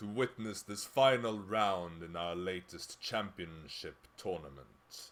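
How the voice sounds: A natural reading voice, its pitch varying in an ordinary way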